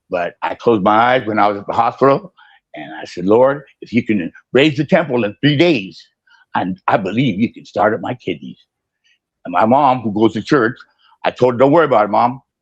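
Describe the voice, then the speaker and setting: Speaking fairly quickly at a medium pitch, a man uses lively intonation and big swings in loudness. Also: dry, close sound with no echo. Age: 60s. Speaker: sign maker. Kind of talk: testimony. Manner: halting, repetitive.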